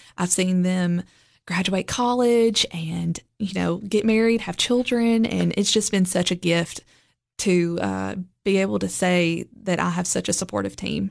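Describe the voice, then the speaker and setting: Against a quiet background, a woman with a Tennessee accent speaks at a fairly slow pace. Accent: Southern US (Tennessee). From Middle Tennessee (Lebanon). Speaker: boutique owner. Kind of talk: interview.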